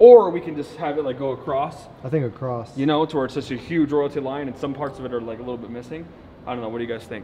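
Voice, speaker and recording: A man at a very fast pace, ordinary pitch variation, light background noise. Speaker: car rental business owner vlogger. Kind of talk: casual vlog chat. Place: garage. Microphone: camera far.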